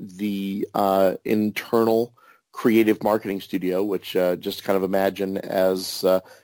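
A man speaks with a Midwestern US accent. The recording is very clean, with a silent background and a dry, close sound with no echo. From Kansas. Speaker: author and greeting card writer. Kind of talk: casual interview chat.

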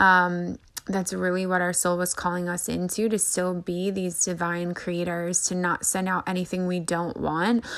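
This woman's pitch is fairly low and her intonation monotone and flat. She speaks at a moderate pace. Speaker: spiritual podcast host. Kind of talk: monologue energy report. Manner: quieter and less fiery than usual; many filler ums.

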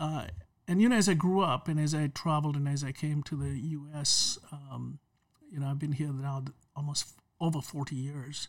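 In a very clean recording with a silent background, a man with a fairly high pitch speaks somewhat breathily at a moderate pace with ordinary pitch variation. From Kenya. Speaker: businessman. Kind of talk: casual chat.

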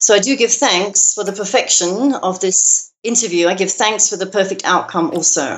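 A woman with a London accent speaks at a medium pitch. Her pace is moderate, with ordinary pitch variation. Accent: British English, London. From London, England. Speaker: minister and author. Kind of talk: casual interview.

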